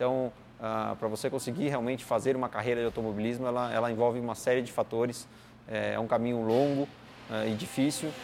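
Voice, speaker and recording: Against noticeable background noise, a man talks at a fairly quick pace in a medium pitch with monotone, flat intonation. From Brazil, São Paulo state interior. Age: 30s. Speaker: racing driver and driving coach. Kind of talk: interview. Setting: at a kart track. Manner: hesitant, many fillers.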